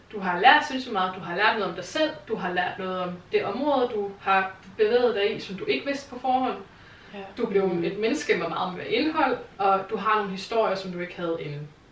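With lively intonation, a woman speaks at a medium pitch and a moderate pace. Noticeable background noise and audible room echo are present. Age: 30s. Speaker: television developer. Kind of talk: casual chat.

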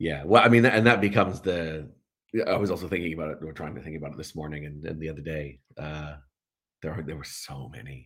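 With a Canadian accent, a man talks very fast in a very deep, low pitch, showing ordinary pitch variation, big swings in loudness and audible room echo. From Canada, Vancouver Island near Victoria. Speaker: voice director and voice actor. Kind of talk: interview conversation. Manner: halting, many repetitions and fillers.

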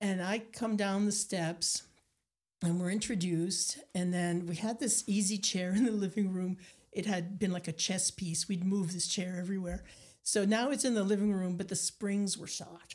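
On a very clean recording with a silent background, a woman speaks at a moderate pace. Her medium-pitched voice is somewhat breathy. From Nova Scotia, Acadian community. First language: Acadian French. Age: 60s. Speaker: painter and storyteller. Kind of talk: casual interview. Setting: studio. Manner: animated.

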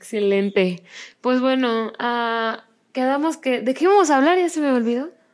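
A woman with a high pitch speaks at a fairly slow pace on a very clean recording with a silent background. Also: lively intonation. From Mexico. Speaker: podcast host. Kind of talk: casual chat.

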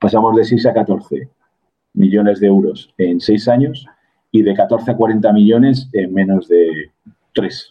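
A man speaks at a very slow pace with a fairly low pitch. He leaves long, frequent pauses, and his pitch varies in an ordinary way. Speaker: business executive and mentor. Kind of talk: interview conversation.

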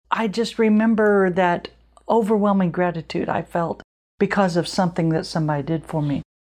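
A woman with a plain, everyday voice speaks in an American accent at a fairly quick pace, her medium pitch showing ordinary pitch variation. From Illinois. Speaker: podcast host, women's ministry leader. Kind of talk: casual chat. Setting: at guest's home.

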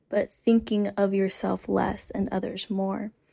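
Very slowly, a woman speaks at a medium pitch in a dark, mellow tone. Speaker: podcast host and graduate student. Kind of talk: solo reflective monologue. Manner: casual, thinking out loud.

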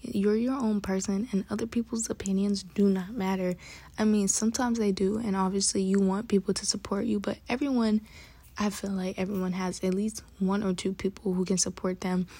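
A woman's dark, mellow, somewhat breathy voice at medium pitch, fairly even intonation, fairly quick pace, in a very clean recording with a silent background. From Bronx, New York. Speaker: podcast host. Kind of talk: casual monologue. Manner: fast talker.

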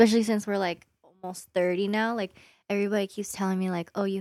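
A woman at medium pitch talks very fast in a monotone, flat way with a dark, mellow tone, on a very clean, silent-background recording with a dry, close sound and no echo. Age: 20s. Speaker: nurse. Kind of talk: casual chat.

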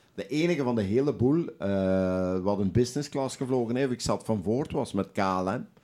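A man with a dark, mellow tone and medium pitch speaks at a moderate pace with lively intonation and hardly any pauses, in a very clean recording with a silent background. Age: 60s. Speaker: football club kit manager and goalkeeper coach. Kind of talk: casual chat with anecdotes. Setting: studio.

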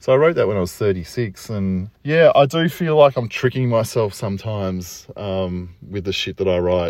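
A moderate pace with hardly any pauses, in an Australian accent. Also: man, fairly low pitch for a man, lively intonation. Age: 40s. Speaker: poet. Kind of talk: solo reflective monologue. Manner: casual, halting with fillers.

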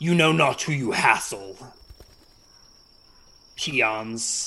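A man's put-on character voice at a medium pitch and a very slow pace. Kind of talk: archaic, haughty. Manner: condescending, imperious.

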